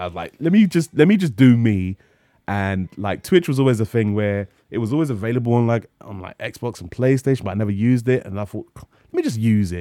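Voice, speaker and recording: Talking at a very fast pace with a London accent, a man with a medium pitch and a dark, mellow tone uses lively intonation and big swings in loudness on a very clean recording with a silent background. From North London. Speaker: streamer and comedian. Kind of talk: casual chat. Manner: frequent laughter; halting, repeats words.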